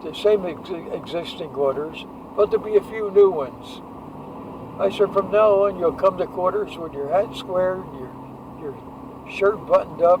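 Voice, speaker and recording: Big swings in loudness, long and frequent pauses, ordinary pitch variation and a moderate pace over noticeable background noise. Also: man, high pitch for a man. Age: 80s+. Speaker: war veteran. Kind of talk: casual chat. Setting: in a car. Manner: halting. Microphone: poor audio quality.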